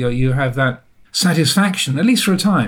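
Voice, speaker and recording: Somewhat breathy and fairly high in pitch, a man talks at a moderate pace with lively intonation. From England. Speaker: Buddhist monk, teacher. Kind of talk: interview conversation. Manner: halting, reflective.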